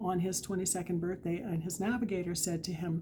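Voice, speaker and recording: A woman's fairly low, somewhat breathy voice with a dark, mellow tone. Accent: Western Canadian. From Canadian Prairies, Alberta. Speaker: author. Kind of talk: casual talk to camera. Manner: halting.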